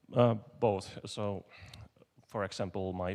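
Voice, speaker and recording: On a very clean recording with a silent background, a man with a non-native accent speaks at a very slow pace in a very deep, low pitch. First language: not English. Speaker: conference speaker, software developer. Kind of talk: conference Q&A. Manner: halting.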